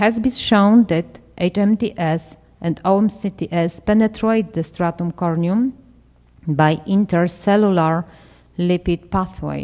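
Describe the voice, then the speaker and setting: Speaking at a fairly slow pace with a Polish accent, a woman uses a medium pitch, ordinary pitch variation and a dark, mellow tone. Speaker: dermatology researcher. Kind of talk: conference presentation. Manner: halting.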